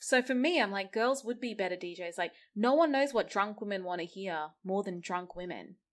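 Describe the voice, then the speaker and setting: With an Australian accent, a woman speaks at a moderate pace in a medium-pitched voice with lively intonation and hardly any pauses against a quiet background. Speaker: DJ and party organizer. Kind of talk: casual interview chat.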